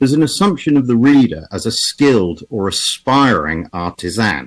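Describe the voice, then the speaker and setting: A man with an English accent talks at a medium pitch and a moderate pace, his pitch swinging very widely, with vocal fry. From England. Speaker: automotive historian. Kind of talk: lecture. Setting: video call.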